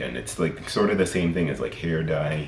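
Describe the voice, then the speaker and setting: Amid audible room echo, a man with an American accent speaks at a very deep, low pitch, using lively intonation and vocal fry. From mixed: America, Trinidad and England. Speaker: vlogger. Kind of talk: casual monologue vlog. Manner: unscripted, halting with self-corrections.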